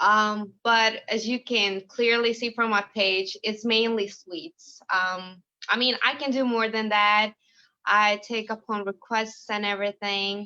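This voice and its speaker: A woman with a Lithuanian accent speaks in a fairly high pitch with a bright, sharp tone. She goes at a fairly slow pace with fairly even intonation. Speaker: home baker, military spouse. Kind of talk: interview.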